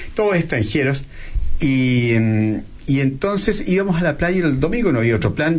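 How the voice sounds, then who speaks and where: A man's voice with very wide pitch swings, audible room echo, and noticeable background noise. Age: 50s. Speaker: plastic surgeon. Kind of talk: interview.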